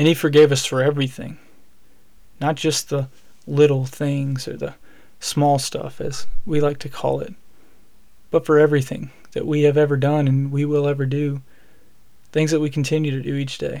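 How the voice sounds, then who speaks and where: Speaking in a Southern US accent at a moderate pace, a man with a fairly high pitch and a dark, mellow tone keeps a monotone, flat intonation broken by long, frequent pauses. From Alabama. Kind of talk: solo devotional podcast talk.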